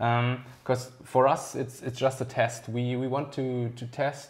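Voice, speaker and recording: A man speaks in a German accent at a fairly slow pace. His intonation is monotone and flat. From Germany. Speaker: RC hobby video host. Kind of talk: casual interview. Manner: halting.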